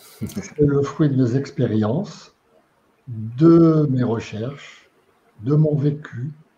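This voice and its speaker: Very slow and somewhat breathy, a man speaks with a dark, mellow tone, a fairly high pitch and ordinary pitch variation. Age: 80s+. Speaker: retired engineer and lecturer on quantum physics and spirituality. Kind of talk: interview. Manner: halting.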